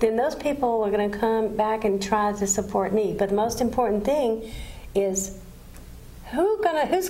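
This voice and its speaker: A woman's voice makes very wide pitch swings. Audible room echo surrounds it. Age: 60s. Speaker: TV talk show host. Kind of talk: TV interview.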